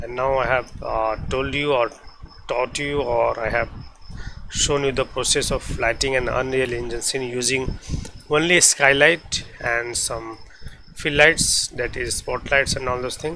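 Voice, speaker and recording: With a non-native accent and a medium pitch, a man speaks at a fairly slow pace and with fairly even intonation against noticeable background noise. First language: not English. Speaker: 3D visualization tutor. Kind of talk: software tutorial. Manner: halting.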